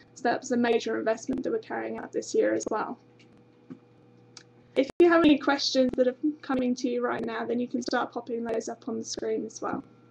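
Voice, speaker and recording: Over noticeable background noise, a woman talks at a fairly quick pace with big swings in loudness. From UK. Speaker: university international recruitment representative. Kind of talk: informational webinar presentation. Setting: live webinar stream. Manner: frequent hesitations (um).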